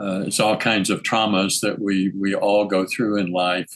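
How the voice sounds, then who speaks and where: A man with an American accent speaks at a fairly slow pace in a fairly low pitch. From Texas. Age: 80s+. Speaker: spiritual teacher, energy healer. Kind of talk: interview conversation. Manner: halting, many fillers.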